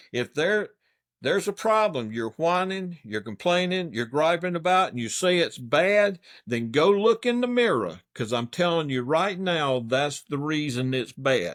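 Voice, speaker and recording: A man with a South Carolina accent talks fairly slowly at a fairly high pitch with very wide pitch swings, on a very clean recording with a silent background. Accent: Southern US (South Carolina). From US South, Anderson County, South Carolina. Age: 60s. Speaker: political candidate. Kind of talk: interview.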